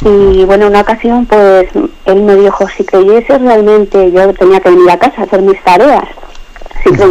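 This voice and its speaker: Moderate-paced speech from a woman, with noticeable background noise. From León, Spain. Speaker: radio caller. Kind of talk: testimony. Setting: phone call.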